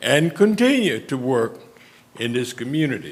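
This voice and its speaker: In a Louisiana accent, a man speaks at a fairly slow pace with audible room echo. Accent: US Southern (Louisiana). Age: 70s. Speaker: retired civic leader. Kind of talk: speech at public meeting. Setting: city council meeting.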